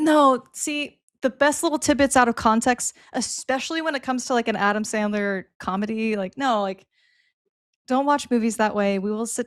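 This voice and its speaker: On a very clean recording with a silent background and a dry, close sound free of echo, a woman speaks at a moderate pace with ordinary pitch variation. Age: 40s. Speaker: darts player and podcast co-host. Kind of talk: casual chat.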